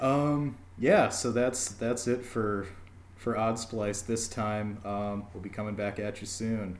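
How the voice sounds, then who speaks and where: Audible room echo surrounds a man with an American accent and a fairly low pitch. He talks at a very slow pace with fairly even intonation. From Minnesota, US Midwest. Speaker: podcast host. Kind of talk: scripted intro; casual chat.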